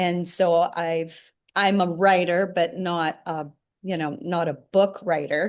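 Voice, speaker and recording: With a plain, everyday voice, a woman speaks at a fairly low pitch and fairly even intonation. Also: quiet background. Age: 60s. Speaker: singer-songwriter and memoir author. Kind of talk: interview.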